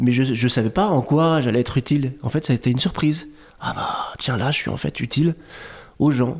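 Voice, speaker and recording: Recorded very cleanly over a silent background, a man with a somewhat breathy voice speaks at a medium pitch with ordinary pitch variation. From Lebanese heritage. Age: 40s. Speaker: digital artist. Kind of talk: casual chat. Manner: slow, reflective; halting with repetitions.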